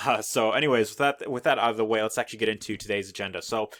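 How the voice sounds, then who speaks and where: On a very clean recording with a silent background and a dry, close sound with no echo, a man speaks at medium pitch with ordinary pitch variation. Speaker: affiliate marketing YouTuber. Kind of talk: tutorial. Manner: fast; casual with many fillers.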